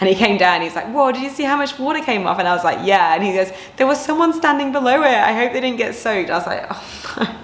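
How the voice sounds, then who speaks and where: Talking at a very fast pace, a woman uses lively intonation and an animated tone, with audible room echo and noticeable background noise. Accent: English. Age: 30s. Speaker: personal trainer and vlogger. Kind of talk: casual vlog talk to camera.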